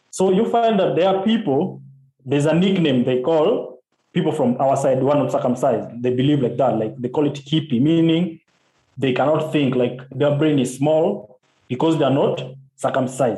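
Fairly high-pitched male speech, somewhat breathy, at a moderate pace with ordinary pitch variation and very even loudness. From Kenya, Kisumu. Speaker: journalist and activist. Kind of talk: interview. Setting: call from Kenya.

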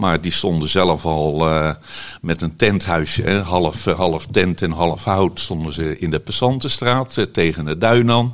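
Very slowly, a man speaks in a very deep, low pitch. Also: ordinary pitch variation. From Netherlands, Rotterdam. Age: 70s. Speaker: holiday cabin owner. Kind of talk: interview. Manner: halting.

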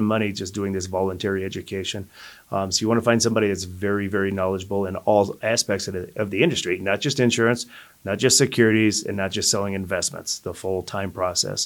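Speaking at a very fast pace with an American accent, a man keeps a fairly low pitch and fairly even intonation. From Colorado. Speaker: financial advisor. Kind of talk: casual chat.

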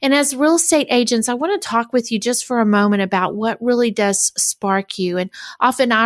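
A woman with a normal speaking voice, fairly high in pitch, with ordinary pitch variation and a fairly quick pace, on a very clean recording with a silent background. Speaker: podcast host and coach. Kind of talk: interview conversation. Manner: warm, encouraging.

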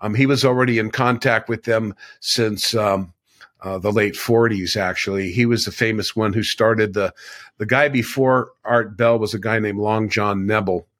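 A man with an American accent and a normal speaking voice, fairly low in pitch, with fairly even intonation and a moderate pace, on a very clean recording with a silent background. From US West Coast, California. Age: 60s. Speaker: ET contactee and spiritual teacher. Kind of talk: casual interview.

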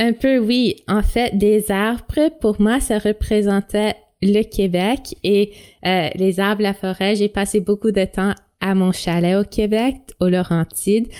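Speaking very slowly, a woman has a medium-pitched voice with a dark, mellow tone. Her pitch varies in an ordinary way and her loudness stays very even. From Toronto. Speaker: teacher. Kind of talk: interview.

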